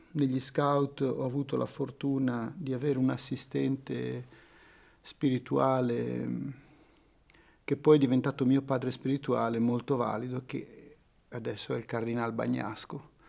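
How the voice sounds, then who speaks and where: A man speaks at medium pitch with monotone, flat intonation. His pace is fairly slow, with long, frequent pauses. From Italy, Genoa. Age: 60s. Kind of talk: testimony.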